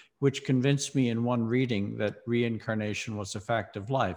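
Speaking with an American accent, a man has an ordinary speaking voice at a medium pitch. He keeps a moderate pace against a quiet background. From US South, Mississippi. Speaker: philosophy professor and author. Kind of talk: interview.

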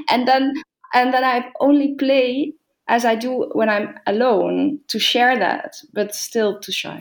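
The speaker has a Dutch accent. The delivery is very slow. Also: woman, high pitch for a woman, ordinary pitch variation. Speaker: organist and harpsichordist. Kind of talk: casual interview. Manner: halting.

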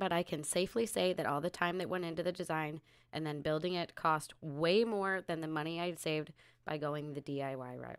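With a plain, everyday voice, a woman speaks at a fairly low pitch with ordinary pitch variation on a very clean recording with a silent background. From upstate New York. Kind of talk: casual live Q&A chat.

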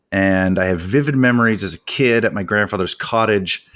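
A man's unremarkable speaking voice, fairly low in pitch, with ordinary pitch variation and a moderate pace. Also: very clean recording, silent background. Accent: Canadian. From Canada. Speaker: podcast host and author, teacher. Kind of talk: casual interview chat.

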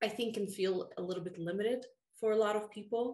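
In a Russian accent, a woman speaks at a medium pitch with ordinary pitch variation. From Russia, moved to the US at 13. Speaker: fantasy author. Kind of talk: casual interview.

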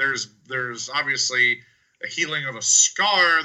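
A man speaks with a bright, sharp tone and lively intonation. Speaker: wrestling podcast co-host. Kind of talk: casual chat.

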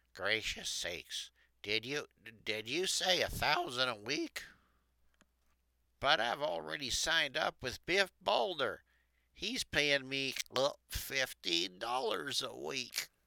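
On a very clean recording with a silent background and a dry, close sound with no echo, a shaky voice moves at a very slow pace with long, frequent pauses and very wide pitch swings. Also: man, medium pitch for a man. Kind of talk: 1940s radio acting. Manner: meek, quaintly polite, wondering.

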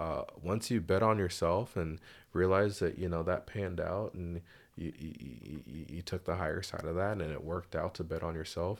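A man's very deep, low voice with fairly even intonation on a very clean recording with a silent background. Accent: American. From Seattle area, Washington (US Pacific Northwest). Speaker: barber and small business owner. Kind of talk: casual interview chat.

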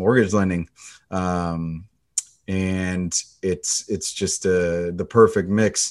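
This is a man with an ordinary speaking voice and an American accent. His pitch is fairly low, his intonation fairly even, and the background quiet. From US Pacific Northwest. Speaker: loan officer. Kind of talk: interview.

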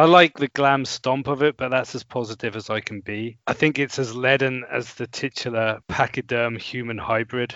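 With an unremarkable speaking voice, a man talks at a moderate pace and medium pitch, using fairly even intonation and hardly any pauses. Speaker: music podcast guest. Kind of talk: casual conversation about an album.

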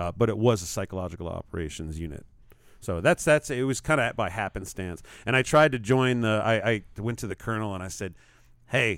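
On a very clean recording with a silent background, a man with an American accent and an unremarkable speaking voice talks at a fairly quick pace, fairly low in pitch, with lively intonation. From New York. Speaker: musician and performance artist. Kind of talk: casual chat. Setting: studio.

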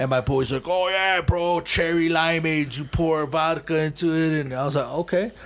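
A plain, everyday voice with an American accent, moderate pace, fairly even intonation and hardly any pauses. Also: man, fairly high pitch for a man. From Chicago. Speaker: graffiti writer. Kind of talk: casual chat. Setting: studio. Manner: casual, profanity-heavy.

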